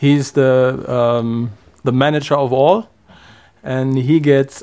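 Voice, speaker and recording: This man speaks with a German accent and a dark, mellow tone. His intonation stays fairly even. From Germany. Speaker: volunteer on social project. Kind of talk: radio interview.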